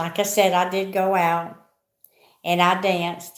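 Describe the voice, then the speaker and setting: A woman speaks with a Southern US accent at medium pitch, monotone and flat in intonation. Her pace is fairly slow, and there is audible room echo. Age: 60s. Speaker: vlogger. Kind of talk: casual chat. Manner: rambling, conversational.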